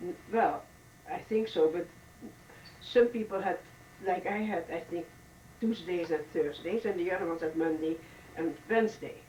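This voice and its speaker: In a Dutch accent, a woman speaks at a medium pitch with long, frequent pauses. Noticeable background noise runs underneath. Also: ordinary pitch variation, moderate pace. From Netherlands, The Hague. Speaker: oral history interviewee. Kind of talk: oral history interview. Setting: hotel. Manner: halting.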